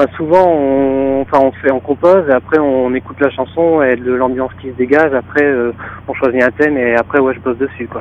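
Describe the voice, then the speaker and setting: A man with a northern French accent talks at a fairly quick pace, his pitch medium with ordinary variation. Noticeable background noise runs underneath. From northern France. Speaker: rock band guitarist. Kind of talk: interview. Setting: phone call.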